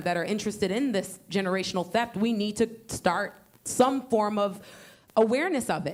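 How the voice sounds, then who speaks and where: Pitched fairly high with ordinary variation, this woman has an unremarkable speaking voice. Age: young. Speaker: audience member or student panelist. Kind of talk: panel discussion.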